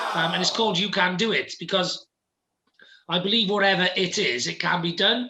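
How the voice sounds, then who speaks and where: Using a raised, projected voice, a man with a British accent speaks at a high pitch with fairly even intonation. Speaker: entrepreneur and podcaster. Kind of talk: interview. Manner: fast.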